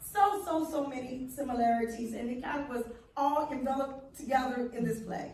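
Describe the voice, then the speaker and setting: With an American accent, a woman speaks at a high pitch, and audible room echo can be heard. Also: ordinary pitch variation. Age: 70s. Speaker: reparations advocate. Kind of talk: panel discussion.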